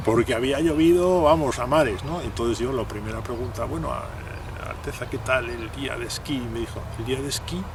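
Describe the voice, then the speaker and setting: Against noticeable background noise, a man speaks at medium pitch and a moderate pace with ordinary pitch variation. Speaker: radio broadcaster. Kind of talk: interview answer.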